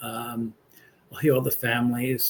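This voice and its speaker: A man with an American accent speaks in a somewhat breathy voice at a moderate pace. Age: 60s. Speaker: pastor and political commentator. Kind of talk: casual political commentary monologue. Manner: halting, many fillers.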